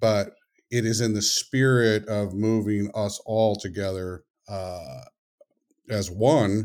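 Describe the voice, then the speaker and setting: It is a normal speaking voice with fairly even intonation. The recording is very clean, with a silent background. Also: man. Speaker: author and consultant. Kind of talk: casual interview.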